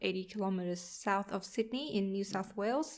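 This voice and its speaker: A woman with a Vietnamese accent talks at a moderate pace in a medium pitch. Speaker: podcast co-host, accountant. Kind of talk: casual podcast chat.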